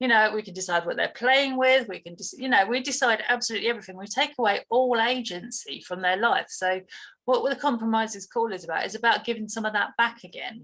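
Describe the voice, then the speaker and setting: A woman with a British accent talks at a very fast pace with hardly any pauses. Her pitch varies in an ordinary way. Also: big swings in loudness. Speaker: dog trainer. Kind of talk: interview. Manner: halting.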